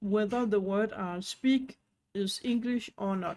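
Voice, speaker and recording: A woman speaks with a non-native accent. Her pitch is medium, with ordinary pitch variation. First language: not English; knows Danish and French. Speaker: online business tutorial creator. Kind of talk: tutorial.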